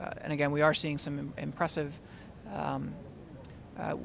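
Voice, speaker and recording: With audible room echo, a man with a fairly high voice talks at a very fast pace. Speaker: tech company product director. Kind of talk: interview. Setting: conference event. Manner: halting with many fillers.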